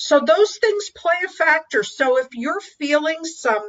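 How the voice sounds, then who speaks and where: A woman at a fairly slow pace, with lively intonation. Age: 60s. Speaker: dating and life coach. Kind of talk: interview.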